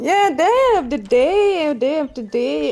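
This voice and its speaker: Speaking very slowly with a non-native accent, a woman uses lively intonation. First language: not English. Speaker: voice chat participant telling a personal story. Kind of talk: personal story in casual group chat. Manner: halting.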